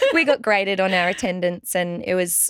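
A woman talks with an Australian accent at a fairly quick pace. The sound is dry and close, with no echo. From regional Victoria, Australia. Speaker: pilates trainer and studio owner. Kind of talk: interview.

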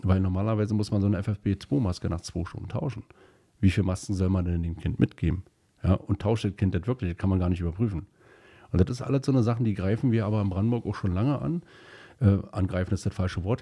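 On a very clean recording with a silent background, a man speaks at a very fast pace in a fairly low pitch, his dark, mellow tone somewhat breathy and his pitch variation ordinary. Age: 40s. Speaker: state politician. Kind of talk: interview. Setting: studio.

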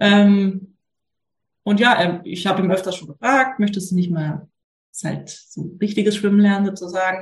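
Somewhat breathy and medium-pitched, a woman speaks at a moderate pace with fairly even intonation, big swings in loudness, and long, frequent pauses. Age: 30s. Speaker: mother asking a parenting question. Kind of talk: casual chat. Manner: hesitant, many fillers.

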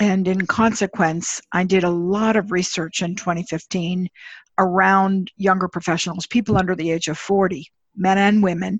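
The voice is somewhat breathy, with flat, monotone intonation at a moderate pace. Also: woman, medium pitch for a woman. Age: 60s. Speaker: management consultant and leadership author. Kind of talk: interview.

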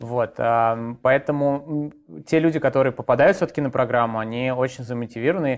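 Here a man has a plain, everyday voice at a medium pitch. He talks at a fairly quick pace with fairly even intonation. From Moscow, Russia. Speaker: coding bootcamp founder. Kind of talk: interview.

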